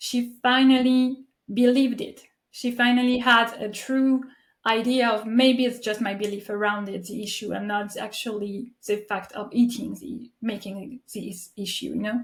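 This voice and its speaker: A woman with a French accent and a fairly high pitch speaks at a moderate pace, her intonation fairly even but her loudness swinging widely. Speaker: podcast host. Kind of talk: interview conversation. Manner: halting.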